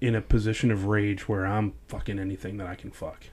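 This man has an American accent and a fairly low pitch. His intonation is flat and monotone, and the recording is very clean with a silent background. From US North. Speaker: former sheriff's deputy. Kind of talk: personal testimony in casual interview. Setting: studio.

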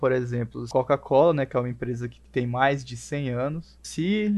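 A man with an ordinary speaking voice keeps a medium pitch and ordinary pitch variation while talking at a moderate pace. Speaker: communications student. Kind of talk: casual chat.

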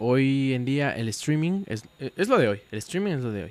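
Here is a man with an unremarkable speaking voice at medium pitch and moderate pace. The sound is dry and close, with no echo. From Puebla, Mexico. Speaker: podcast co-host. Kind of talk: casual chat.

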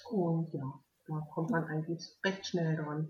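Speaking at a fairly slow pace, a woman sounds somewhat breathy, and her intonation stays fairly even. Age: 40s. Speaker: heart transplant recipient. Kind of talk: interview.

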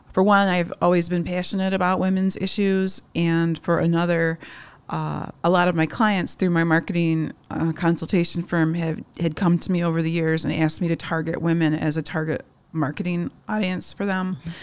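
A woman with an American accent, fairly low pitch and monotone, flat intonation. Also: moderate pace. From Upper Peninsula of Michigan. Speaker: magazine publisher. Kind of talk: interview.

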